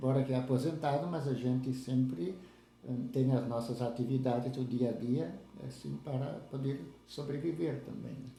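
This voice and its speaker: In a dark, mellow tone, a man speaks at a moderate pace and medium pitch with ordinary pitch variation and a somewhat breathy quality. Audible room echo surrounds his voice. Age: 70s. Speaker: retired farmer and lay church leader. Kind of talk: interview, life story. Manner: halting, with fillers and repetitions.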